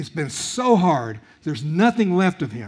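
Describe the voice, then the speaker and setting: Over a quiet background, the voice is somewhat breathy, moving at a fairly slow pace with very wide pitch swings. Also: man. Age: 60s. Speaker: guest preacher. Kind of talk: sermon. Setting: church. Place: church. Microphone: headset.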